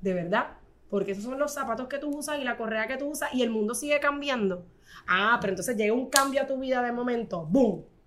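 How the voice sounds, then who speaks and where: A woman talks at a very fast pace with a high pitch. Her pitch varies in an ordinary way. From Puerto Rico, Corozal. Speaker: fashion designer and image consultant. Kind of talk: casual interview.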